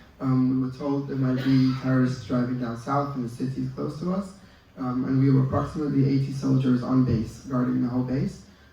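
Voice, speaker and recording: Noticeable background noise and audible room echo fill the recording. A man talks at a fairly quick pace and medium pitch with fairly even intonation. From Israel. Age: 20s. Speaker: dental student and army officer. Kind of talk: interview. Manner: hesitant, many fillers.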